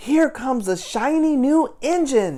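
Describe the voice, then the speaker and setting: Fairly slow pacing in a put-on character voice. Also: woman. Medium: read story.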